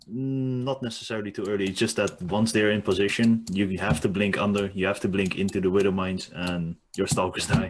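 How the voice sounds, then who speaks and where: Fairly low in pitch, a man in an unremarkable speaking voice keeps a moderate pace and fairly even intonation. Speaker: guest, StarCraft player. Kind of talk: casual group discussion about a video game. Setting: video call.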